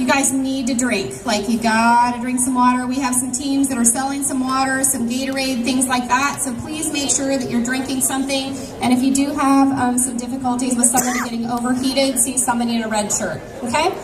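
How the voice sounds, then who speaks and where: Loud and fairly quick, a woman talks in a high pitch with monotone, flat intonation and hardly any pauses, with audible room echo and music in the background. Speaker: event organizer. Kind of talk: event announcements to crowd.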